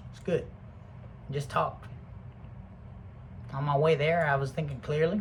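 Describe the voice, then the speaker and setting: There is audible room echo as a man with a fairly high pitch speaks at a moderate pace with ordinary pitch variation. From Britain. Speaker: video blogger. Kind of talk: casual monologue. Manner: rambling, profane.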